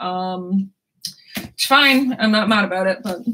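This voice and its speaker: Over light background noise, a woman speaks in a bright, sharp tone with ordinary pitch variation. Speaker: book vlogger. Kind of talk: casual vlog chat. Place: home room. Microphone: camera far.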